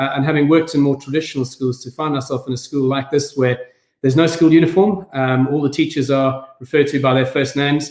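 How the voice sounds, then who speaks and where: With a South African accent, a man talks at a very fast pace in a fairly high voice with fairly even intonation. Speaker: head teacher. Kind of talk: online event talk. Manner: hesitant, many fillers.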